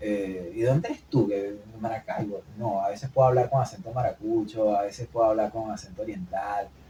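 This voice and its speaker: A fairly low-pitched man, somewhat breathy with a dark, mellow tone, at a fairly quick pace with hardly any pauses and ordinary pitch variation. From Venezuela, Maracay. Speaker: podcast co-host. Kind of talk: casual chat. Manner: fast.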